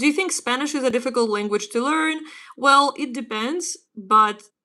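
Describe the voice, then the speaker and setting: Speaking at a moderate pace with lively intonation, a woman with a Ukrainian accent talks in a high pitch over a quiet background. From Ukraine. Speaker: English teacher. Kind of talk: livestream language lesson. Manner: casual.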